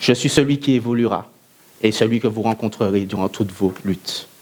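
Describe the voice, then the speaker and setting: A man speaks at a medium pitch and a fairly slow pace. His pitch varies in an ordinary way. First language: Antillean Creole (alongside French) (speaking French). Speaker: eloquence contest speaker. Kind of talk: oratory speech. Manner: declamatory, rhetorical.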